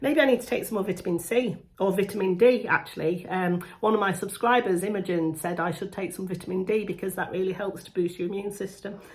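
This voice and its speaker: Talking very fast at a medium pitch, a woman is heard over noticeable background noise. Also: ordinary pitch variation. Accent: British. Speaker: beauty vlogger. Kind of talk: makeup tutorial. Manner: casual, chatty.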